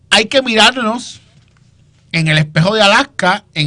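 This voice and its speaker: A man's raised, projected voice, bright and sharp in tone, animated, at a fairly slow pace. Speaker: political commentator. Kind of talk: political panel discussion.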